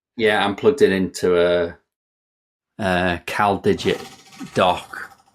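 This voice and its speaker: A man with a very deep, low pitch speaks in a northwest England accent. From northwest England (Kirkby Lonsdale, Lake District). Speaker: software developer, author. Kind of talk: podcast interview, casual chat. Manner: casual, some hesitations.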